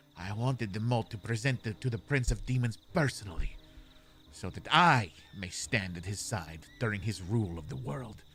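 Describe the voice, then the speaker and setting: Putting on a character voice, a man hisses and growls at a medium pitch. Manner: growling, hissing.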